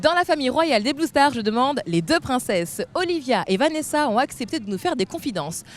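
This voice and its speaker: A woman speaks at a fairly quick pace in a high voice, her pitch swinging very widely with hardly any pauses. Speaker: TV presenter. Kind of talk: TV show presentation.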